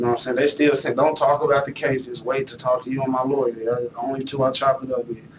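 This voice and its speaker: A medium-pitched man talks very fast with hardly any pauses. Noticeable background noise runs underneath. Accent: American. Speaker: murder suspect. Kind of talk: police interrogation. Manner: animated.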